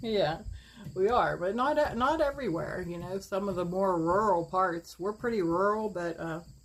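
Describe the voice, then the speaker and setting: The speaker talks at a moderate pace with lively intonation in an Appalachian accent. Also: woman, medium pitch for a woman. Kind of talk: casual talk to camera.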